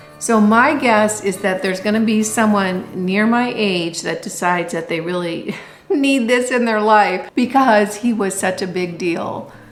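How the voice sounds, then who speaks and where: A woman talks at a fairly slow pace with hardly any pauses. Noticeable background noise and audible room echo fill the recording. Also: medium pitch for a woman, ordinary pitch variation. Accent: American. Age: 60s. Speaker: thrift vlogger. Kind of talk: casual show-and-tell vlog.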